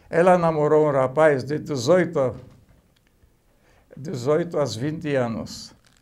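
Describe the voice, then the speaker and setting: Speaking at a very slow pace with long, frequent pauses, a man with a fairly high pitch is heard amid audible room echo. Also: ordinary pitch variation. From Poland. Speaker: oral history interviewee. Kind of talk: life story testimony. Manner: halting.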